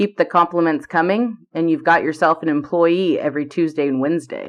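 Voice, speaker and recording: A woman's put-on character voice, raspy and rumbling, fairly low in pitch, at a fairly quick pace. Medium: read story. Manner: easygoing, teasing.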